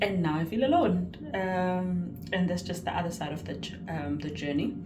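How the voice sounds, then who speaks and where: A woman speaks with a fairly low pitch. Room echo is audible. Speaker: vlogger and psychology student. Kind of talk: vlog monologue. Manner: loud and excitable.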